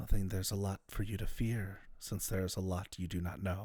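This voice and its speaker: A man's put-on character voice, fairly low in pitch and monotone, at a fairly quick pace. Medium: actual play. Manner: cryptic, questioning.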